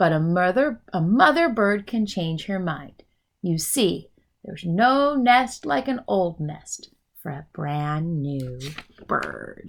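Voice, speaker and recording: Using a put-on character voice, a woman speaks in a medium pitch at a fairly slow pace. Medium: read story.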